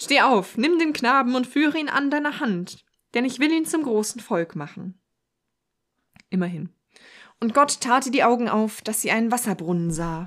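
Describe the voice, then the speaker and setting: With long, frequent pauses, a woman talks at a moderate pace in a high pitch with very wide pitch swings. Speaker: podcast co-host. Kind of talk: reading aloud.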